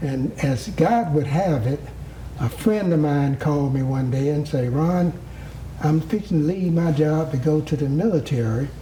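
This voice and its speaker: Noticeable background noise behind a man's fairly high voice, moderate in pace, very even in loudness, with ordinary pitch variation. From US South, rural Georgia. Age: 70s. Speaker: former mayor. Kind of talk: interview. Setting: at home.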